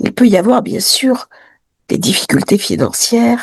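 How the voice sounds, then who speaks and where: At a very slow pace, a woman speaks at a fairly high pitch with vocal fry. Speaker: astrologer. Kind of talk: weekly horoscope talk to camera.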